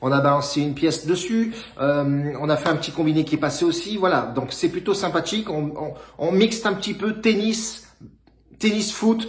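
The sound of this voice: A man talks at a moderate pace with fairly high pitch. His intonation is lively.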